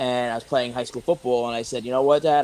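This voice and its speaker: Very fast speech from a man with an American accent, medium pitch and fairly even intonation, against noticeable background noise. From New York, Staten Island. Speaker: professional wrestler. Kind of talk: interview.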